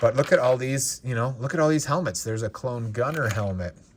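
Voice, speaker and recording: The speech comes at a fairly quick pace with ordinary pitch variation. Noticeable background noise runs underneath. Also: man. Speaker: Lego reseller and collector YouTuber. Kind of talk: casual unboxing commentary.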